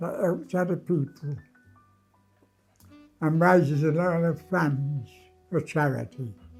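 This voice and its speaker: Music plays in the background as a man with a high voice talks at a very slow pace. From London. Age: 80s+. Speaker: Pearly King, charity fundraiser. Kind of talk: interview answer.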